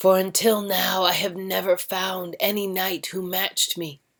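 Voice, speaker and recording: This put-on character voice sounds female, hoarse and middle-pitched. It moves at a moderate pace. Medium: read story.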